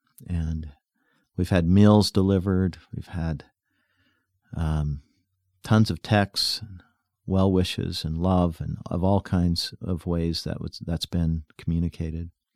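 A man with an American accent and a very deep, low pitch speaks very slowly, with long, frequent pauses and fairly even intonation. The recording is very clean, with a silent background and a dry, close sound with no echo. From US West, rural northeastern Utah. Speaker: podcast host. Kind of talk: personal reflection monologue. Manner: halting.

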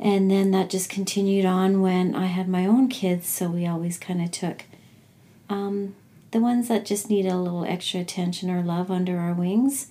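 Woman with a Canadian accent, medium pitch and a dark, mellow tone, at a moderate pace with fairly even intonation. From Alberta, Canada (Edmonton). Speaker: energy healer and mother. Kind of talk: casual chat.

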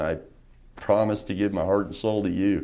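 In an American accent, a man speaks with a fairly low pitch and a dark, mellow tone, with audible room echo around him. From Las Vegas, Nevada. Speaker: political candidate. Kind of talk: interview. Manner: halting.

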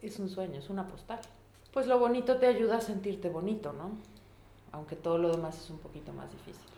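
Amid noticeable background noise and audible room echo, a woman speaks fairly quickly at a medium pitch, with lively intonation and big swings in loudness. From Mexico, Puebla. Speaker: veterinarian and photographer. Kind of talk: casual interview. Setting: home kitchen.

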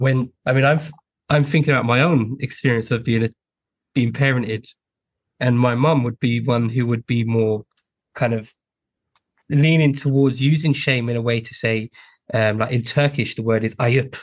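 There are long, frequent pauses as a man speaks at a moderate pace, somewhat breathy, with medium pitch and fairly even intonation. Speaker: podcast host. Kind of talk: interview, hosting.

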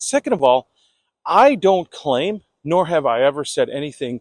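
In a very clean recording with a silent background and a dry, close sound without echo, a fairly high-pitched man makes very wide pitch swings. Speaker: podcast host. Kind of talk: angry rant, unscripted monologue with heavy swearing. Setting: outdoors, recording while walking. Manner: fired-up, indignant, emphatic, confrontational.

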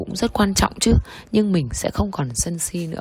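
Her fairly low voice is somewhat breathy, and this woman's pitch swings very widely. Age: 30s. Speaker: hospital executive. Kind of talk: personal testimony.

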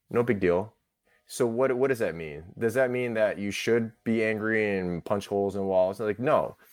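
On a very clean recording with a silent background, a man speaks at a moderate pace in a fairly low voice with an American accent. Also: ordinary pitch variation. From US, Orchard Park near Buffalo, New York. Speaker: radiation oncologist and author. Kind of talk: interview. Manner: halting, many fillers.

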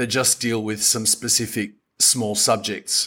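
A man with an Australian accent speaks in a very clean recording with a silent background. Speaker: tour operator and podcast host. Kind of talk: podcast monologue. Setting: home office. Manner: chatty.

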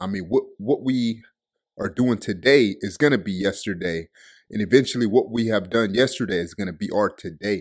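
A man with a fairly low pitch speaks at a moderate pace in an animated tone, with ordinary pitch variation. The recording is very clean, with a silent background. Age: 20s. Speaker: motivational speaker. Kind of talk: motivational talk.

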